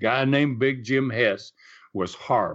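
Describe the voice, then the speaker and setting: A man speaks with a Tennessee accent. His pitch is medium and his pace moderate. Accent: Southern US (Tennessee). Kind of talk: storytelling interview. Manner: halting, many fillers.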